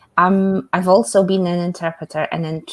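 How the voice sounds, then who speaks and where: A woman with a Polish accent, moderate in pace, with fairly even intonation. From Poland. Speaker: English communication coach. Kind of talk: self-introduction in live webinar. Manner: halting, many fillers.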